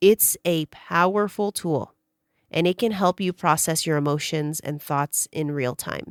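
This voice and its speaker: In a very clean recording with a silent background and a dry, close sound with no echo, a woman speaks in a relaxed tone at a fairly low pitch and fairly slow pace, with ordinary pitch variation. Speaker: podcast host. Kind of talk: podcast outro; audio diary monologue. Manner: shifting tone, low and slow then frustrated then relaxed.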